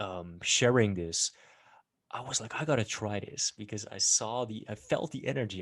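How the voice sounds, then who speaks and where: With a Dutch accent, a man speaks at a moderate pace in a fairly low voice with ordinary pitch variation. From Netherlands. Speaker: podcast host. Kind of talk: interview.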